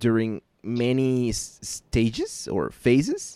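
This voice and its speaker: A man with a Mexican accent, his voice dry and close with no echo. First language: Spanish. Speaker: podcast host. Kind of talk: casual chat. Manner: halting.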